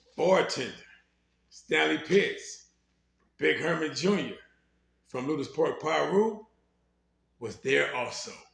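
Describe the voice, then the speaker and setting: Speaking very slowly with an American accent, a man leaves long, frequent pauses. Audible room echo surrounds his voice. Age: 60s. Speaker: former gang member telling his life story. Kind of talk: storytelling.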